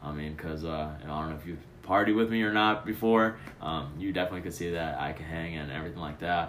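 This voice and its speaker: Over audible room echo, a man with a very deep, low pitch talks at a very fast pace. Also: ordinary pitch variation. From Chicago. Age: 20s. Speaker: college student. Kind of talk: casual chat.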